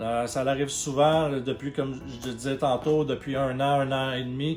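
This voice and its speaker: Over background music, a man speaks at a moderate pace with a fairly high pitch and fairly even intonation. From Quebec. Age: 30s. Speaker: YouTuber, video game channel host. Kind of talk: channel introduction monologue. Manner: hesitant, many fillers.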